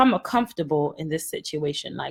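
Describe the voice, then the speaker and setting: Somewhat breathy, a woman talks at a fairly quick pace in an animated tone with lively intonation. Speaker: podcaster. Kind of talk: casual monologue. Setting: livestream.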